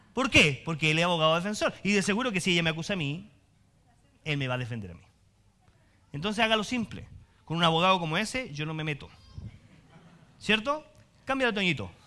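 A man's very fast, high, bright and sharp voice in a Chilean accent, animated, with lively intonation, big swings in loudness and long, frequent pauses. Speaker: pastor. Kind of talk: sermon, preacher warmly teaching the congregation with jokes, then closing in prayer. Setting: church with congregation. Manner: animated, humorous and conversational, colloquial asides, lively preacher's cadence. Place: church.

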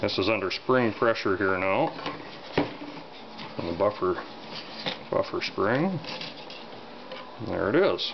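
Lively intonation at a very slow pace, long, frequent pauses, and noticeable background noise. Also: man, fairly low pitch for a man. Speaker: gun takedown video narrator. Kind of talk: tutorial. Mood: relaxed, offhand. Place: workshop.

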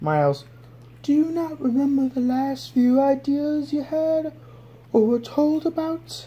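Pitched high, a female-sounding cartoonish character voice goes at a fairly slow pace. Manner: nervous, weary.

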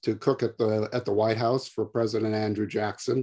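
A man talks in a dark, mellow tone with monotone, flat intonation. The background is quiet. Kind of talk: lecture. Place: home room. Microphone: webcam.

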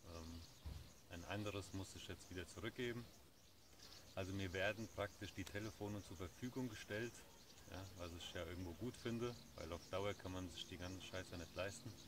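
A man with a very deep, low pitch speaks at a moderate pace, somewhat breathy and with fairly even intonation, leaving long, frequent pauses, in a dry sound with no echo and noticeable background noise. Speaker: vlogger. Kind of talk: casual vlog chat. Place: garden. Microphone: phone near.

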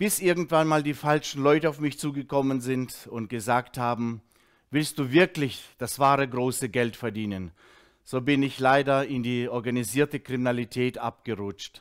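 A man's voice at medium pitch and moderate pace, with ordinary pitch variation, over a quiet background. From Russia, moved to Germany as a child in 1979. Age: 50s. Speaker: former drug addict giving a testimony; speaker. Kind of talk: testimony; teaching. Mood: earnest, reflective. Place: studio. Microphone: headset.

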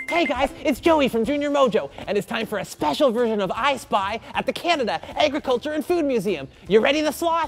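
A cartoonish character voice, female-sounding and fairly high in pitch, moves at a fairly quick pace over clear background noise. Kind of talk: kids show host talk. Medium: puppet. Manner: upbeat, energetic.

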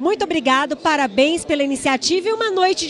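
Delivered at a fairly quick pace in an upbeat tone, the voice sounds dry with no echo, though noticeable background noise is present. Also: woman. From São Paulo state, Brazil. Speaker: TV presenter. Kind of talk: event interview questions. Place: hall. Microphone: handheld.

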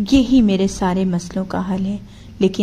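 An unforced reading voice carries the whole clip.

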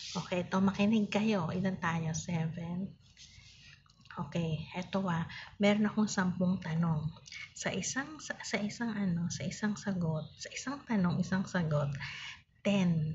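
Soft-spoken and whispering, a woman talks at a fairly slow pace over light background noise. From Philippines. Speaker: online seller live streamer. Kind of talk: casual live stream with viewer games. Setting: live stream on phone. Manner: soft-spoken, near whisper; animated. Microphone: phone near.

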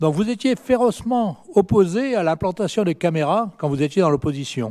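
Against a quiet background, a man with a high pitch and a dark, mellow tone speaks at a moderate pace with very wide pitch swings. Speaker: opposition city councillor. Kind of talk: council debate speech. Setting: municipal council meeting. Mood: pointed, mildly ironic. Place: hall. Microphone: hard to hear, mic issue; podium.

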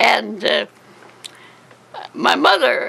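A woman speaks at a very slow pace. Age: 80s+. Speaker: elderly woman. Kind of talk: interview. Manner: halting. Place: home room. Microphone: phone near.

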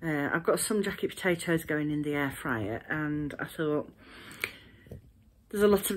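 At a moderate pace, a woman talks in an ordinary speaking voice with ordinary pitch variation. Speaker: craft vlogger. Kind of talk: casual vlog chat. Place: home room. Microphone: phone near.

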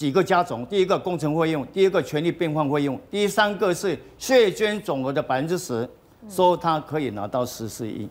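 The intonation is lively. Words come at a moderate pace. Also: man, high pitch for a man. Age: 70s. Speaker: small landowner; talk show guest commentator. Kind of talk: TV talk show panel discussion. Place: studio.

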